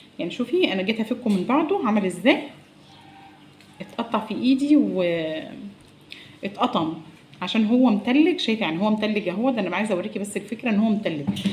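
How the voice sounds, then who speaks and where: Over noticeable background noise, a woman with a fairly high voice talks at a fairly quick pace with lively intonation and long, frequent pauses. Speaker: cooking vlogger. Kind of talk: cooking tutorial. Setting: home kitchen. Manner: soft-spoken.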